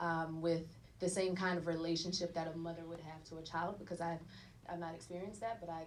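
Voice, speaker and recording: An American accent comes through with audible room echo. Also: woman. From North Carolina, US South. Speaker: actor. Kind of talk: panel Q&A at screening. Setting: private screening with audience.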